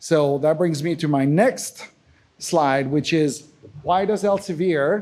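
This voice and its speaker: On a very clean recording with a silent background, a man with a French accent speaks in a fairly high pitch with a dark, mellow tone. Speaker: accessibility specialist and software engineer. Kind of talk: conference talk. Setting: conference session with audience. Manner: halting, many fillers.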